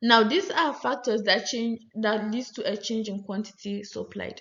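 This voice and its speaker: A woman with a fairly high pitch speaks at a fairly slow pace, sounding somewhat breathy. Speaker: lecturer. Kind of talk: lecture.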